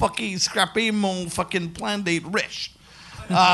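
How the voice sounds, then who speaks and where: A raised, projected voice moves at a fairly slow pace against noticeable background noise. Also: man. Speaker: comedian. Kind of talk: live comedy podcast before audience. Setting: stage with audience. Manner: animated; loud.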